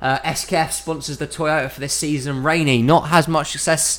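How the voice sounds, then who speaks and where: A man with a British accent, fairly high pitch, fairly even intonation and moderate pace. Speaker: sim racing league commentator. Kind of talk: live commentary. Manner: casual, somewhat halting.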